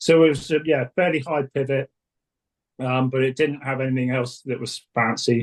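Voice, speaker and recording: With an English accent, a man talks at a moderate pace in a fairly high pitch, his ordinary pitch variation caught in a dry, close sound with no echo. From England. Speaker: suspension tuner, former race support mechanic. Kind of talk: interview. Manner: hesitant, many fillers.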